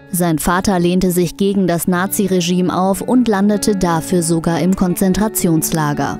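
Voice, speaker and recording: Over music in the background, a woman at medium pitch talks at a moderate pace with hardly any pauses, very even loudness and fairly even intonation. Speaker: TV news narrator. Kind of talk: local TV news report narration.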